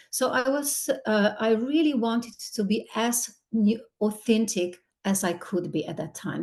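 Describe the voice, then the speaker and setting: Lively intonation runs through a somewhat breathy voice. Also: woman. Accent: Slovenian. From Slovenia. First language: Slovenian. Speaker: skincare ingredient company executive. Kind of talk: podcast interview.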